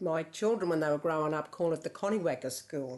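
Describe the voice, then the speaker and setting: Her voice is fairly low in pitch, and this woman speaks with an Australian accent. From Yass, New South Wales, Australia. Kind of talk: documentary interview answer.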